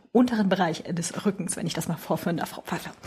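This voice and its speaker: A woman's somewhat breathy voice with ordinary pitch variation. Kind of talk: casual chat. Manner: rises in pitch when nervous.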